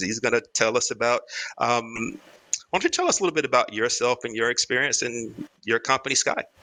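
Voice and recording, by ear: A man speaks at a fairly quick pace and a medium pitch, with ordinary pitch variation and a bright, sharp tone.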